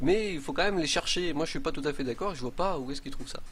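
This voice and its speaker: A man's fairly high voice, with audible room echo around it. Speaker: game streamer. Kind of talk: live stream commentary. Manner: hesitant.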